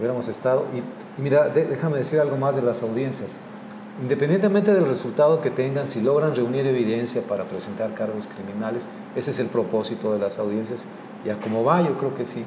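Amid noticeable background noise and audible room echo, a man of medium pitch speaks fairly quickly with ordinary pitch variation. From Mexico. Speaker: podcast host. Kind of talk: casual chat.

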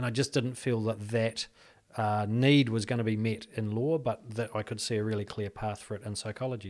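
On a very clean recording with a silent background, a man with a New Zealand accent talks at a fairly quick pace in a medium pitch, his intonation monotone and flat. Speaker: clinical psychologist. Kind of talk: casual interview.

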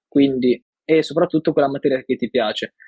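This man talks at a fairly quick pace, his pitch fairly high for a man. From northern Italy, Milan. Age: 20s. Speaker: design graduate. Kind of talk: interview. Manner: halting.

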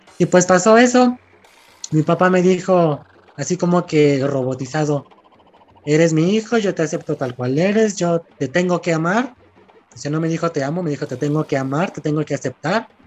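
High-pitched male speech at a moderate pace over noticeable background noise. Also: ordinary pitch variation. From Mexico, Chihuahua. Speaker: guest from volunteer group. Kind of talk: casual chat.

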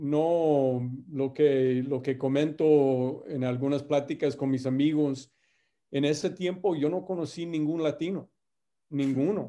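A man talks at a very slow pace. His voice has a fairly high pitch and fairly even intonation. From US Midwest, Indiana. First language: English (speaking Spanish). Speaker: company executive. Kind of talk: interview. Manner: halting, many fillers and repeats.

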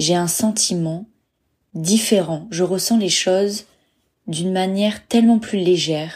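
A woman speaks somewhat breathy at a fairly slow pace. The recording is very clean with a silent background. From France, Bordeaux. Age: 30s. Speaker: travel podcaster. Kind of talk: personal monologue podcast.

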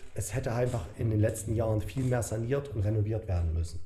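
A man with a dark, mellow, somewhat breathy voice speaks at a fairly quick pace and medium pitch with ordinary variation, and audible room echo surrounds him. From Saxony, Germany. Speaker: bodybuilder. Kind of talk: casual chat.

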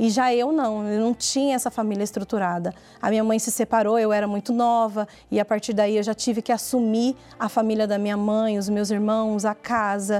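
A woman's fairly high voice with a dark, mellow tone, monotone, flat intonation, very even loudness and a moderate pace. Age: 40s. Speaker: dance teacher. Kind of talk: testimony.

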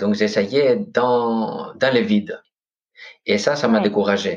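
A man with a Greek accent speaks at a fairly slow pace. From Greece, Corfu. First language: Greek (speaking French). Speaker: podcast host, meditation guest. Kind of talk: interview conversation. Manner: hesitant.

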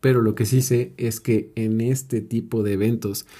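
Fairly low in pitch, a man speaks with a Mexican accent and fairly even intonation in a dark, mellow tone. The recording is very clean, with a silent background. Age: 20s. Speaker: podcaster and life coach. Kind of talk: motivational monologue. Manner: casual.

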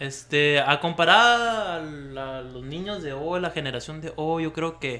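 A man with a fairly high pitch and a bright, sharp tone speaks at a fairly slow pace with hardly any pauses and big swings in loudness. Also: ordinary pitch variation. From Mexicali, Baja California, Mexico. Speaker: podcast co-host. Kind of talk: casual chat.

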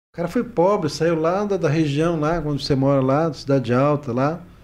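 A man speaks at a fairly quick pace, in a fairly high pitch. He has an ordinary speaking voice with lively intonation. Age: 40s. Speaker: social worker and regional sports official. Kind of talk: podcast interview.

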